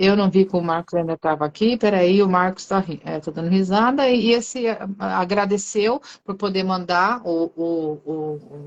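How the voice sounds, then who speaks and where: A woman talks at a fairly slow pace in a plain, everyday voice. Her pitch is medium, with ordinary variation. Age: 50s. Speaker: livestream host. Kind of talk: casual chat. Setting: live stream.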